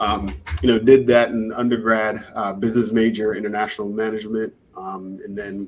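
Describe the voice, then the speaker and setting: With a slight Jamaican accent, a man with a fairly low voice talks at a fairly quick pace. His loudness swings widely. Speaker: startup founder. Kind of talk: interview.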